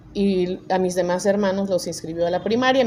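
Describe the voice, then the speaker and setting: A woman with a medium pitch and ordinary pitch variation speaks fairly slowly over noticeable background noise. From Mexico, Chicontepec, Veracruz (Huasteca). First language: Nahuatl (speaking Spanish). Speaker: judge. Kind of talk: interview.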